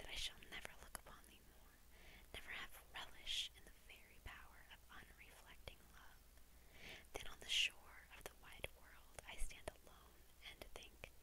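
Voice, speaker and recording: A woman is whispering. Her pace is fairly slow. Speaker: ASMR creator. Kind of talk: poetry reading. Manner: whispered. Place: home room. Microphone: lapel.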